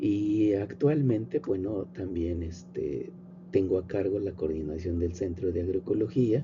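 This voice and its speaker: A man with a very deep, low pitch speaks at a fairly slow pace with lively intonation. Room echo is audible. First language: Nahuatl (speaking Spanish). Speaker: professor and agronomist. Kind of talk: lecture. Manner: informal, with fillers and repetitions.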